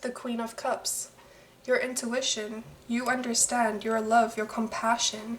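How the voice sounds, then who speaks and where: Over noticeable background noise, a soft-spoken woman talks at a fairly slow pace. Her fairly high voice stays monotone and flat. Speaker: tarot reader. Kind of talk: tarot reading. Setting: at home late at night, others sleeping. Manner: halting.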